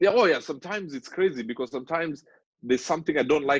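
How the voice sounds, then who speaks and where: A man's very fast speech with lively intonation. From Kenya. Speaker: relationship coach. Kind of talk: interview. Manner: loud.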